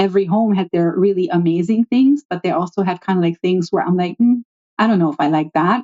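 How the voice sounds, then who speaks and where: A very fast delivery with ordinary pitch variation and very even loudness. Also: woman, medium pitch for a woman. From Germany. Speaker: hospitality consultant. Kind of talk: podcast interview. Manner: animated.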